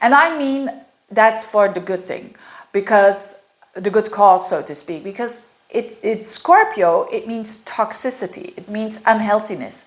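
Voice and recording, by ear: A woman at medium pitch with ordinary pitch variation, fairly slow and with few pauses, in audible room echo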